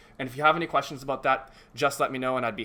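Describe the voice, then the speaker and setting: Speaking very fast, a man has a fairly high pitch and a bright, sharp tone. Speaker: teaching assistant. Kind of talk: online tutorial.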